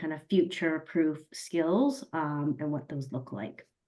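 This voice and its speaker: A woman's very deep, low voice with an American accent, at a moderate pace against a quiet background. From US, Colorado. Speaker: learning and development professional. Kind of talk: webinar self-introduction.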